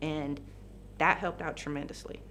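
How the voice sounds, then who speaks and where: A woman speaks at a moderate pace. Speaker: police officer. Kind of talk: testimony. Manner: halting.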